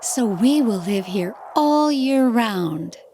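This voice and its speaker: A woman's put-on character voice, fairly high-pitched, with very wide pitch swings and a very slow pace. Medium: read story.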